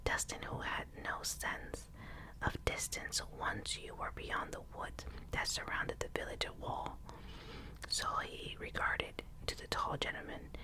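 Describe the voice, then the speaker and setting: Noticeable background noise sits behind the audio. A woman whispers at a fairly slow pace. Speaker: ASMR reader. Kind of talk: ASMR audiobook reading. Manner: whispered, soft.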